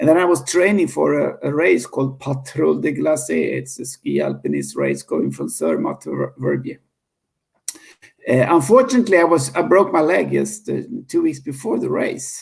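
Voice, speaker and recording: This is a man with a Swedish accent. His pace is moderate. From Sweden. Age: 50s. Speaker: founder of a cleanup movement. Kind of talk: interview. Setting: podcast interview. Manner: halting, many repetitions.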